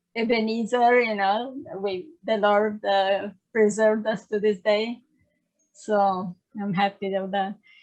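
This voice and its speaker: A woman with an Italian accent speaks at a medium pitch and a fairly slow pace, her intonation monotone and flat, against a quiet background. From Italy. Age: 60s. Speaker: church history author. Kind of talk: casual interview. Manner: halting.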